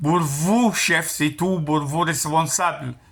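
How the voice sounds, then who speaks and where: A man speaks at a very slow pace. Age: 60s. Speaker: retired construction worker, customer. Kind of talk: customer service phone complaint. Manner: halting, repetitive.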